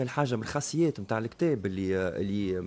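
Here a man is talking. His intonation is lively. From Tunisia. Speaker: book publisher; radio guest. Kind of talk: radio interview. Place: studio. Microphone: studio mic.

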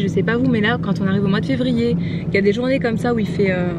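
The speech races at a very fast pace with ordinary pitch variation, in a dry sound with no echo and loud background noise. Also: woman. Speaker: vlogger. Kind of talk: casual vlog chat. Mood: cheerful, chatty. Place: car. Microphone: phone near.

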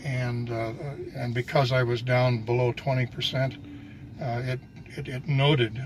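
A man at a fairly slow pace, monotone and flat, with long, frequent pauses over noticeable background noise. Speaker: car owner and driver. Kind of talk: casual conversation. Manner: hesitant. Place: car. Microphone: phone near.

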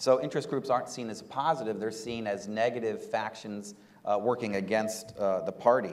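Man at a moderate pace with ordinary pitch variation. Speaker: political economy researcher; panel expert. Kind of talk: panel discussion. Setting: stage with audience. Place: hall. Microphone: lapel.

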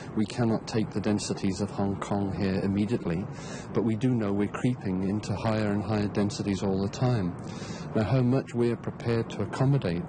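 A man's fairly low voice at a fairly quick pace, with ordinary pitch variation and a dry sound with no echo, over noticeable background noise. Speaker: interviewee. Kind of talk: interview answer. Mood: measured, thoughtful. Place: waterside.

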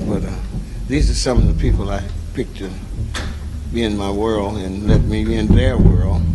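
A man keeps a moderate pace while loud noise fills the background. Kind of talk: stage banter introducing band. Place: stage. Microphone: handheld.

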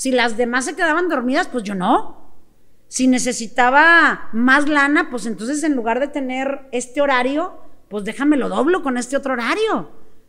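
A woman speaks with a high pitch and lively intonation at a moderate pace. The background is quiet. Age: 50s. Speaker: sales coach. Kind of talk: interview. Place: studio. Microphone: studio mic.

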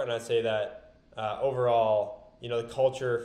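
Audible room echo around a man's voice. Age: 20s. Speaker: supplement entrepreneur; podcast guest. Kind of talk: casual chat. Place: home room.

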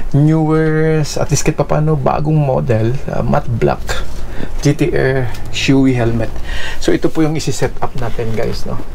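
Against light background noise, a man speaks at a fairly slow pace with very even loudness. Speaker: motovlogger. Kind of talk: casual vlog chat. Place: home room.

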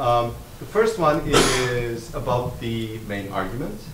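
A man's voice over noticeable background noise. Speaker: academic discussant. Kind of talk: academic commentary. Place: meeting room. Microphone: podium.

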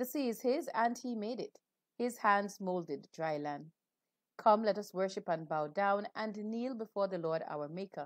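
Against a quiet background and in a dry sound with no echo, a woman speaks at a moderate pace with lively intonation. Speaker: Anglican clergy leading worship. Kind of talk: liturgy and sermon. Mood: calm, devotional. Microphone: earbuds.

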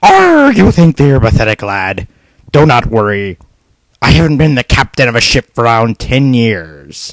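This put-on character voice growls at a low-to-middle pitch and moves at a moderate pace. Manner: growling pirate "arrgh".

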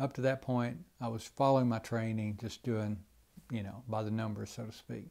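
Speaking at a moderate pace over a quiet background, a man with a Southern US accent has a medium-pitched voice with a dark, mellow tone and fairly even intonation. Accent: Southern American. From Georgia, USA. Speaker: retired Air Force colonel, Vietnam War veteran and former prisoner of war. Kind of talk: interview answer. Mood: reflective, earnest. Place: office. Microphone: lapel.

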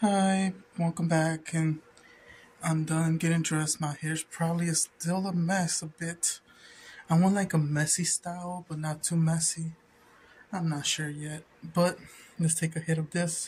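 With long, frequent pauses, a man speaks fairly slowly in a high pitch and a monotone, flat intonation, with light background noise behind him. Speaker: vlogger. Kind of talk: casual vlog chat. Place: home room. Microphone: phone near.

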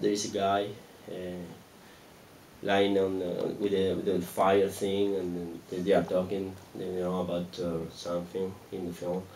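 A man with a Spanish accent speaks at a fairly slow pace, his pitch very deep and low, with long, frequent pauses. Light background noise can be heard. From Argentina. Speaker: film director; guest. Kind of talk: audience Q&A after a film screening. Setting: stage with audience at a cinema. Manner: halting, repeats words. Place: stage. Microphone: handheld.

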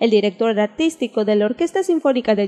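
A woman's normal speaking voice, fairly high and fairly quick, with lively intonation and a dry, close sound without echo. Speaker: television news reporter. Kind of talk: TV news report voice-over.

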